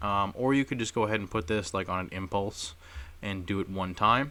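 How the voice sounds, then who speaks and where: A man's fairly low voice at a fairly quick pace, very cleanly recorded with a silent background. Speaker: gaming tutorial youtuber. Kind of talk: tutorial. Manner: fast.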